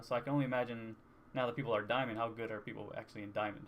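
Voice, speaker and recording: Soft-spoken, a man talks. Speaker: gamer vlogger. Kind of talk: casual talk to camera. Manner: hesitant, rambling.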